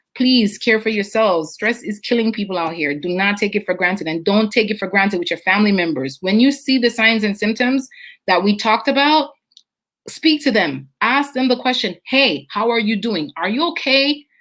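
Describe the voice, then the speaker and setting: In a Jamaican accent, a woman speaks with lively intonation. Her voice is fairly high-pitched and her pace moderate. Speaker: nutritionist and wellness show host. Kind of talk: live stream chat reading viewer comments. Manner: playful.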